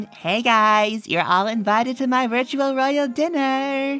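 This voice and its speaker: A fairly high-pitched, put-on character voice at a fairly slow pace, with faint music in the background. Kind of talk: bright, performed, insincere. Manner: upbeat, cheery, scripted.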